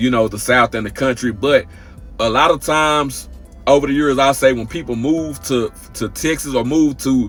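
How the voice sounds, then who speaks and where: Ordinary pitch variation at a moderate pace, with music in the background. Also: man, medium pitch for a man. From Texas. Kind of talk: casual reaction talk to camera. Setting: outdoors.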